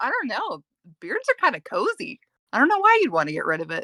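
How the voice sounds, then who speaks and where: A put-on character voice mumbles at a very fast pace. The sound is dry and close, with no echo. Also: woman, extremely high pitch for a woman. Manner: mumbling, low and indistinct.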